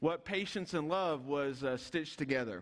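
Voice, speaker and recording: A man at a moderate pace, with a quiet background. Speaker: pastor preaching. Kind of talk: sermon. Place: church.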